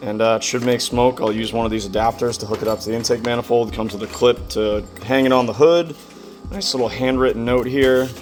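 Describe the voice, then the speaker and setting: Music plays in the background as a man talks at medium pitch. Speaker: car enthusiast YouTuber. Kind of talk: garage tutorial vlog. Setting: home garage. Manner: casual, with fillers.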